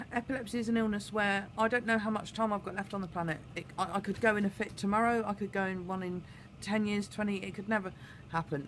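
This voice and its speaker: A woman's British accent at a medium pitch, fairly quick in pace, with fairly even intonation. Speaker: vlogger. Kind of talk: personal vlog monologue. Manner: hesitant, many fillers.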